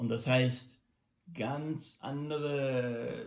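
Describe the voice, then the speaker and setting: Somewhat breathy and at a medium pitch, a man speaks at a very slow pace with ordinary pitch variation. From Germany until 14, then USA. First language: English and German from childhood (speaking German). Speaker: musician and daily video blogger. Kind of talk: casual monologue vlog. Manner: halting, many fillers and restarts.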